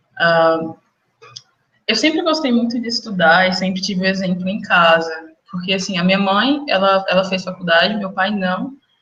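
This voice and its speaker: With a bright, sharp tone, a woman speaks at medium pitch and a moderate pace with ordinary pitch variation. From interior of Minas Gerais, Brazil (near Goiás border). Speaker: medical student. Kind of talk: interview.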